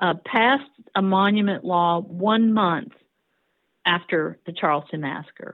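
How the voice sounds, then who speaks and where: A woman with an American accent, medium pitch, ordinary pitch variation and a fairly slow pace. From US South. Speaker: historian. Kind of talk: interview. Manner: halting, many fillers.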